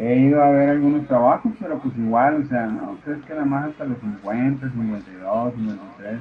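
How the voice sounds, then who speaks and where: A man at medium pitch and a fairly slow pace, with hardly any pauses, over noticeable background noise. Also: ordinary pitch variation. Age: 50s. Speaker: unemployed security guard. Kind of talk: voice message.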